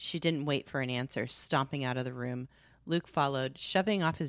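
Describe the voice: The text is read aloud plainly, with pitch shifting in an ordinary way.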